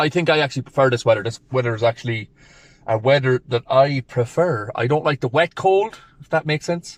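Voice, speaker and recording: This man's somewhat breathy voice sits at a medium pitch, moving at a fairly quick pace with ordinary pitch variation in a dry, close sound with no echo. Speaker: powerlifting vlogger. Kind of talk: vlog voiceover. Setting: in a car. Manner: casual, energetic.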